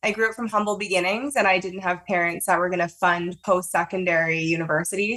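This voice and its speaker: With a Canadian accent, a woman speaks at a very fast pace in a medium pitch, her intonation fairly even over noticeable background noise. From Canada, Toronto. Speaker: marketing agency director. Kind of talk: podcast interview.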